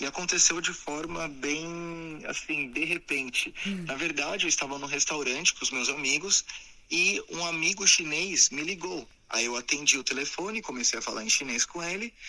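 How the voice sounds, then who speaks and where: A normal speaking voice at a moderate pace, with ordinary pitch variation. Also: man, fairly high pitch for a man. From Brazil, São Paulo state (Sorocaba). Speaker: entrepreneur and TV personality. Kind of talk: interview.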